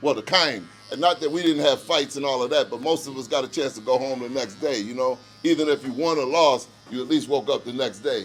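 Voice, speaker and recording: A man's fairly high voice at a fairly quick pace, with ordinary pitch variation and music in the background. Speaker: interviewer. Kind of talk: casual chat. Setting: barbershop. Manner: loud.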